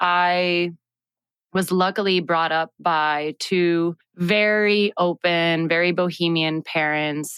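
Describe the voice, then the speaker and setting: A woman with a Puerto Rican accent speaks very slowly at a fairly low pitch, in a flat monotone. The recording is very clean, with a silent background and a dry, close sound free of echo. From Puerto Rico (San Juan). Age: 30s. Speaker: agro-activist, farmer. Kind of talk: personal storytelling. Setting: studio.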